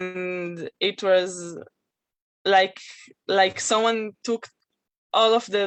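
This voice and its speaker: A woman speaks very slowly in a monotone, flat intonation. She leaves long, frequent pauses. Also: medium pitch for a woman. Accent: Israeli. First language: Hebrew. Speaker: guest speaker. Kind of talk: testimony. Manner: halting.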